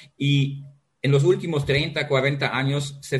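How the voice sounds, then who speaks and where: A somewhat breathy man's voice at a medium pitch. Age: 50s. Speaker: geology professor. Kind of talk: interview. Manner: halting.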